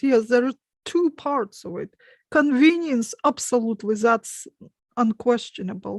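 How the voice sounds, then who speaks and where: A woman with a Russian accent and fairly high pitch speaks at a fairly slow pace in a very clean recording with a silent background and a dry, close sound with no echo. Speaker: hypnotist. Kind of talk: panel discussion.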